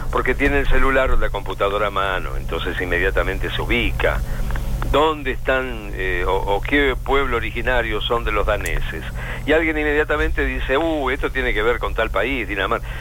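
Speaking at a fairly quick pace, a man is heard over noticeable background noise, with audible room echo. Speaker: radio broadcaster. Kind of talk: interview. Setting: phone call.

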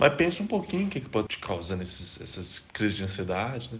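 This man talks at a very fast pace. His voice is somewhat breathy. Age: 30s. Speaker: software developer. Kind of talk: testimony.

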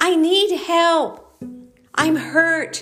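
A woman's put-on character voice at an extremely high pitch, with faint music in the background. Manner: pleading, hurt.

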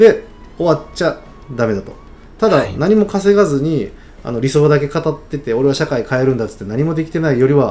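A dark, mellow tone with lively intonation at a fairly quick pace. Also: man, fairly high pitch for a man. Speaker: startup founder and angel investor. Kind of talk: casual mentoring chat.

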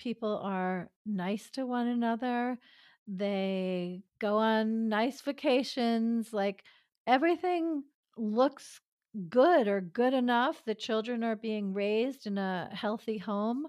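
A woman with an American accent talks very slowly at a fairly high pitch, with ordinary pitch variation. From New York City suburbs. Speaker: relationship expert and former physician. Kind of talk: interview.

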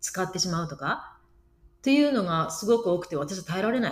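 A woman talks fairly quickly in a somewhat breathy voice, her pitch swinging very widely. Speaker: podcast co-host. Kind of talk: casual chat.

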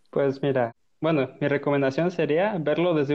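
A man speaks in a normal speaking voice at a moderate pace. His pitch is fairly high, with fairly even intonation. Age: 20s. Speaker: podcast guest. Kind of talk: casual chat.

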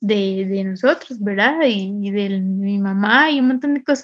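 Using a normal speaking voice, a woman speaks at a moderate pace with a fairly high pitch and ordinary pitch variation. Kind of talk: casual chat.

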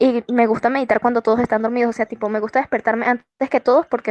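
A woman's fairly high voice at a very fast pace. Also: dry, close sound with no echo. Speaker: podcast co-host. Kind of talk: casual chat.

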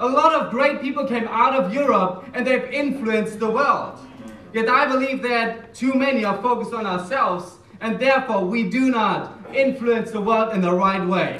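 A man with a German accent speaks at an extremely high pitch with ordinary pitch variation. Noticeable background noise is present. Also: moderate pace. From Germany. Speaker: church minister. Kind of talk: sermon.

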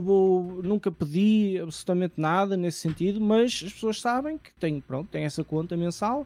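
A man speaks with a high pitch and a dark, mellow tone. His pitch varies in an ordinary way. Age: 20s. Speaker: streamer. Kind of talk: casual chat. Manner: expressive, emotion shows in voice.

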